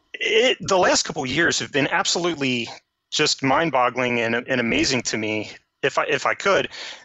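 A man speaks in a normal speaking voice, fairly high-pitched, with lively intonation at a moderate pace. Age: 40s. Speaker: programmer. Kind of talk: casual chat.

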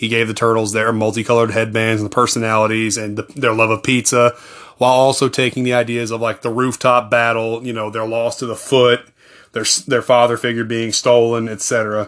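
A man with a medium pitch talks at a fairly quick pace in a monotone, flat delivery. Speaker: movie podcast host. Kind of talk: solo film review monologue. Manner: fast.

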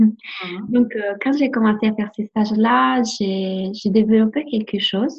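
The speaker has an Italian accent and a somewhat breathy voice. The pace is fairly slow. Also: woman, fairly high pitch for a woman, ordinary pitch variation. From Italy. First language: Italian (speaking French). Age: 20s. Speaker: life coach. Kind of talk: interview. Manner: halting.

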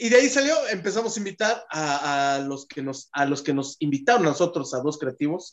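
The speech moves at a fairly quick pace in an animated tone, with hardly any pauses. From Mexico City (Pedregal). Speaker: TikTok content creator. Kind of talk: casual chat.

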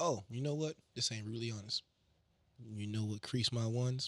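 In a dry, close sound with no echo, an animated, somewhat breathy voice speaks with long, frequent pauses. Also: man. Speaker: guest co-host. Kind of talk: casual banter podcast. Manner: animated, joking.

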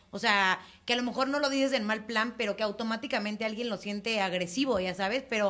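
A bright, sharp tone at a very fast pace, with fairly even intonation. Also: woman, fairly high pitch for a woman. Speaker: podcast co-host. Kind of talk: casual chat. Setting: studio.

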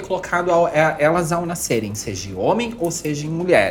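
A woman with a medium pitch talks at a moderate pace while noticeable background noise runs underneath. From Santa Catarina, southern Brazil (Jaraguá do Sul). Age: 30s. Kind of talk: interview.

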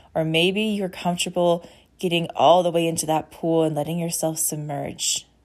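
A woman speaks at a fairly slow pace in a fairly low voice. The recording is very clean, with a silent background. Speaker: podcast host and intuitive healer. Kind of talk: guided meditation. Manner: slow, soothing and calm, with gentle pacing; warm and inviting.

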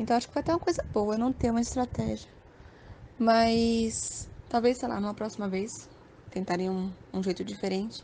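Taking long, frequent pauses, a woman speaks with a fairly high pitch and a dark, mellow tone. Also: ordinary pitch variation, moderate pace. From Brazil, Aracaju. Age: 20s. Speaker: online game contestant. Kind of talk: casual interview.

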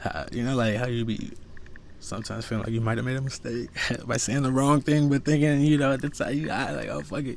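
A man with a medium-pitched voice talks at a very fast pace in an animated tone, with audible room echo. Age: 30s. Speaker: podcast host. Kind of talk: casual monologue.

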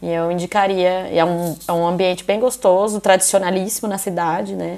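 An unremarkable speaking voice from a woman, fairly low in pitch, moderate in pace, with ordinary pitch variation. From interior of São Paulo state, Brazil. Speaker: podcast host. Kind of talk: casual chat.

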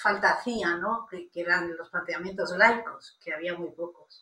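A woman's bright, sharp, fairly low voice at a fairly slow pace, with fairly even intonation. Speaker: bioethics professor. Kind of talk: interview.

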